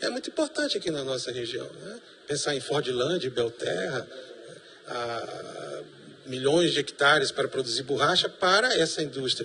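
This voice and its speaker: Over noticeable background noise, a man with a fairly high voice and lively intonation keeps a moderate pace. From Brazil, Manaus (Amazonas). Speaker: professor. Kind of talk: TV panel debate.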